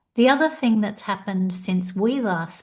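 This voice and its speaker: A woman speaks in an Australian accent, her voice somewhat breathy. The background is quiet. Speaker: career coach. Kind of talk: podcast interview.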